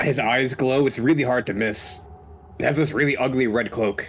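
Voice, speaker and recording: Over clear music in the background, a man does a raspy, put-on character voice at a medium pitch and moderate pace, with very even loudness and ordinary pitch variation. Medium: virtual streamer. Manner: stammering, nervous.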